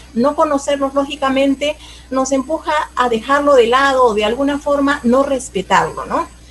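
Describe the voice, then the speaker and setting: Over noticeable background noise, a woman speaks at a moderate pace. Her voice is high-pitched, with fairly even intonation. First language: Aymara (speaking Spanish). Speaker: teacher and cultural promoter. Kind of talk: interview. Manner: halting, many fillers.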